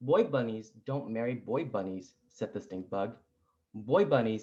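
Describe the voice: Against a quiet background, a passage is read aloud plainly.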